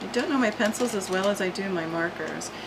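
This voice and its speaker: Medium in pitch, a woman speaks at a moderate pace with lively intonation. Audible room echo and noticeable background noise surround her. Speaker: art tutorial channel host. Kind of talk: tutorial. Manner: casual, thinking aloud with hesitations.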